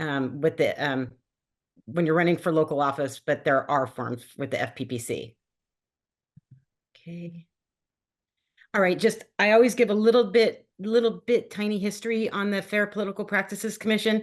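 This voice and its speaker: This woman's voice has vocal fry and lively intonation. She leaves long, frequent pauses. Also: medium pitch for a woman. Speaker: state ethics agency staff presenter. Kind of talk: webinar presentation. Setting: video call. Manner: fast.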